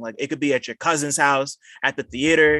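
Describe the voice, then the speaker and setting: A man with a fairly high pitch and a bright, sharp tone at a fairly quick pace, in a dry, close sound with no echo and a quiet background. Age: 20s. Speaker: podcast host. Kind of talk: casual chat. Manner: halting, many fillers.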